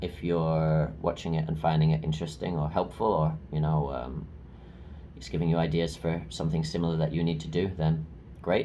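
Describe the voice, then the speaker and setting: A man speaks at a fairly quick pace with a very deep, low pitch, vocal fry and a dark, mellow tone. His intonation is fairly even, and room echo is audible. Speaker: vlogger, English teacher. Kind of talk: video diary monologue. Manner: hesitant, many filler ums.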